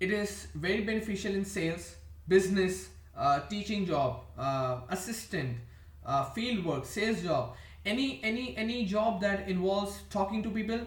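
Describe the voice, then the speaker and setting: Speaking with an Indian accent at a moderate pace, a man uses a high pitch with very wide pitch swings, and audible room echo surrounds him. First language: an Indian language. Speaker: vlogger. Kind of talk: casual monologue. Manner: halting.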